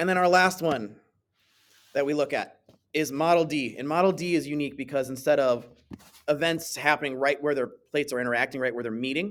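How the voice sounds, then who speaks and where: A man with a fairly high pitch and ordinary pitch variation talks at a very fast pace, broken by long, frequent pauses. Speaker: science teacher. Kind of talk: tutorial.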